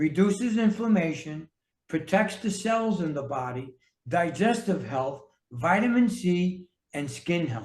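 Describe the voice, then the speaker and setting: A man speaks with an American accent at a high pitch. His intonation is lively. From New York City. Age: 60s. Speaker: health and fitness coach, author. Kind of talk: casual interview chat.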